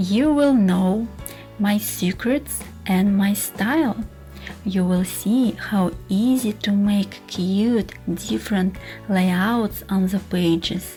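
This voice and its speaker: A woman with a Russian accent at a very slow pace, very even in loudness, with music in the background. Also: medium pitch for a woman, ordinary pitch variation. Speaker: scrapbooking teacher. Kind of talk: casual talk to camera.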